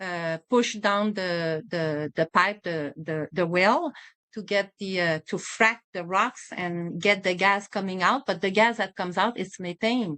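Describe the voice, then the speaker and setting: A woman speaks at a fairly slow pace. She leaves hardly any pauses. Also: medium pitch for a woman, ordinary pitch variation. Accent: French. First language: French. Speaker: physician and environmental advocate. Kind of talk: interview. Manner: halting, many fillers.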